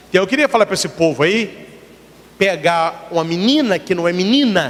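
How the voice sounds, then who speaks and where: Over noticeable background noise, a man speaks at a moderate pace. His tone is animated and his intonation lively. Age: 40s. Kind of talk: sermon. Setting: church.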